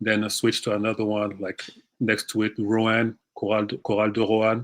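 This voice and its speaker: Against a quiet background, a man speaks in a fairly low, monotone voice with flat intonation. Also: moderate pace. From France. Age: 30s. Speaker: basketball trainer, former pro player. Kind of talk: podcast interview.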